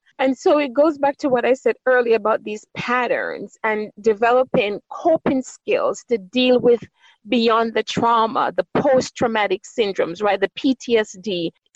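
In a dry, close recording with no echo, a woman with a Jamaican accent speaks fairly slowly in a high voice, showing ordinary pitch variation and hardly any pauses. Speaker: doctor and guest. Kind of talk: interview conversation.

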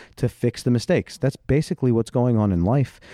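A man at a very fast pace with a dark, mellow tone, dry and close with no echo, over a quiet background. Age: 40s. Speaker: podcast host. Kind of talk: casual chat.

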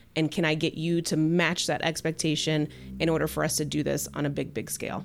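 With vocal fry and an American accent, the speaker moves at a fairly quick pace in a monotone, flat intonation. The recording is very clean, with a silent background. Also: woman. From Kentucky. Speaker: real estate team founder. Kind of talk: casual chat.

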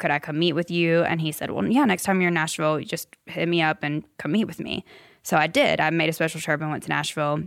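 A woman with an American accent talks at a very fast pace. Her pitch is fairly low, with fairly even intonation. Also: very clean recording, silent background. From US South, upstate South Carolina. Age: 30s. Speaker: music publisher. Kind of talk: interview storytelling.

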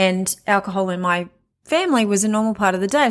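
On a very clean recording with a silent background, a woman speaks in a plain, everyday voice. Her pitch is medium, with ordinary pitch variation. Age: 40s. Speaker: podcast host sharing recovery story. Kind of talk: personal monologue. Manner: casual and conversational.

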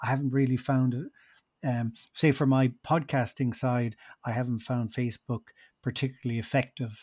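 With a Munster Irish accent, a man speaks at medium pitch and a moderate pace in a monotone, flat intonation, on a very clean recording with a silent background. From Ireland, Tipperary. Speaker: podcast producer and hotel owner. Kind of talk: interview.

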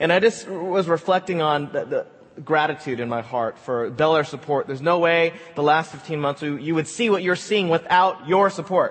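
With noticeable background noise behind him, a man speaks at a moderate pace in a fairly high pitch. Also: ordinary pitch variation. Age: 40s. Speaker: pastor. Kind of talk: sermon.

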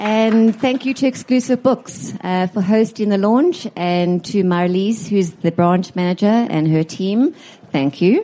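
A woman with a normal speaking voice talks at a fairly slow pace and medium pitch, her intonation lively and her loudness very even. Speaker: book publisher. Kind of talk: welcome speech. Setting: live event with audience.

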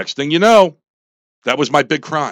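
The voice is a man's. He talks with an American accent. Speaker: army veteran and former political candidate. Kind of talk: radio interview. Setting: radio studio. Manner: loud.

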